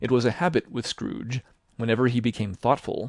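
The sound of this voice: The voice reads in an unforced way. That manner holds from start to finish.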